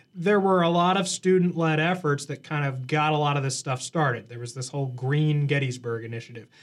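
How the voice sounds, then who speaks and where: A man talks at a fairly quick pace with a plain, everyday voice. His pitch is fairly high, with ordinary variation. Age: 20s. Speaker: college radio host. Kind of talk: casual chat.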